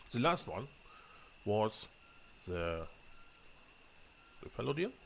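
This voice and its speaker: This man talks at a very slow pace with a German accent. His fairly low voice makes very wide pitch swings. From Germany. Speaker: gaming video creator. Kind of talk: gameplay commentary. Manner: halting, frequent fillers and repeats.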